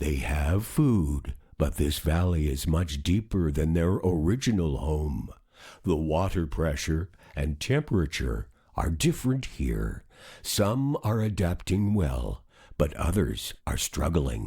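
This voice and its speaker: At a fairly slow pace, a man puts on a character voice with a very deep, low pitch, and the recording is very clean with a silent background. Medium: read story. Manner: thoughtful, calm.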